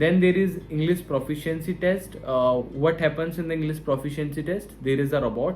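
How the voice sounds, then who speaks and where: Music plays behind a man's fairly high voice. His pitch varies in an ordinary way. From India. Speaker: online course creator. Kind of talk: tutorial. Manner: halting, many fillers.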